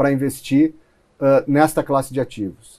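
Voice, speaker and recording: Delivered at a moderate speed, the speech carries a dark, mellow tone. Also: man. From Rio Grande do Sul, southern Brazil. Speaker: venture capital investor. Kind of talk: interview. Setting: studio. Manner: halting, with fillers and repetitions.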